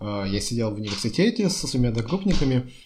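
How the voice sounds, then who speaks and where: Somewhat breathy, a man speaks in a dark, mellow tone with lively intonation. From Russia, Chelyabinsk. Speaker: architect. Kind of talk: casual chat.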